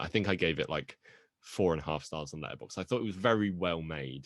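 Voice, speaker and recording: A man talks very fast with a British accent and lively intonation. His voice is very deep and low, with vocal fry. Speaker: podcast co-host. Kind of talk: casual chat.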